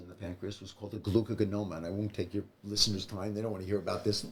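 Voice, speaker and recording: A man speaks with a fairly low pitch and a somewhat breathy voice. His intonation stays fairly even. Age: 70s. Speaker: retired veterinarian and cancer survivor. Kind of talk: interview. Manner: halting.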